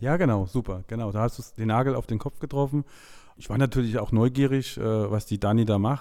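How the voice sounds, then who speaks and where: With a dark, mellow tone, a man speaks at a medium pitch and a moderate pace, keeping his intonation fairly even. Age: 40s. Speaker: IT manager and NLP course graduate. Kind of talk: interview testimony.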